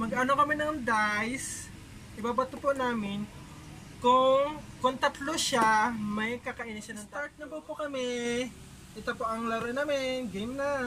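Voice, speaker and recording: A woman's high-pitched voice at a fairly slow pace, with fairly even intonation over light background noise. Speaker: vlogger host. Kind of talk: casual vlog chat, game hosting. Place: home room. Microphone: camera far.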